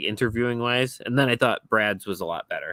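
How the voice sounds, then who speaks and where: Mumbling in a bright, sharp tone at a fairly quick pace. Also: man, dry, close sound with no echo. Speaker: podcast host. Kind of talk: casual chat.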